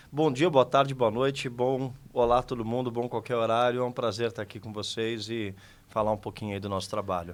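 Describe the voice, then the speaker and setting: A man with a São Paulo accent, at a medium pitch and a fairly quick pace, with fairly even intonation. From São Paulo city, Brazil. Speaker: podcast guest, community volunteer. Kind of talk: casual interview chat.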